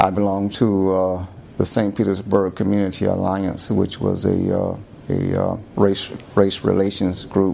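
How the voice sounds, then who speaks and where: With an American accent, a man speaks in a fairly low pitch and a monotone, flat intonation. His pace is fairly slow, and there is noticeable background noise. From Florida, USA. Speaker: lawyer. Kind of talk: oral history interview answer. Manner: hesitant, many fillers.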